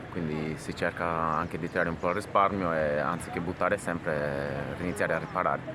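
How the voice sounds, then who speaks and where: Over noticeable background noise, a man with a very deep, low pitch speaks at a fairly quick pace, hardly pausing at all. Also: fairly even intonation. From Sardinia, Orroli. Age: 30s. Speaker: shoemaker. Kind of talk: interview.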